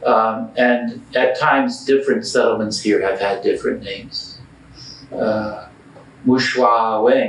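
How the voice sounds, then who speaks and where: With a slight North American accent, a man speaks at a fairly slow pace amid noticeable background noise and audible room echo. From born in US, grew up mostly in Botswana. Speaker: historian and history teacher. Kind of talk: interview.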